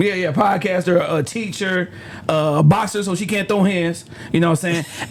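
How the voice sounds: A man with a Detroit accent and a high pitch for a man talks at a moderate pace with ordinary pitch variation, over noticeable background noise.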